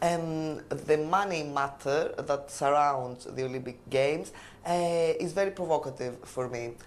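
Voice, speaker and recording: A woman with a Greek accent speaks in a very deep, low pitch at a fairly slow pace. Her pitch varies in an ordinary way, and audible room echo surrounds her voice. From Greece, Crete. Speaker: language exam candidate. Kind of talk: oral exam interview. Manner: hesitant, many fillers.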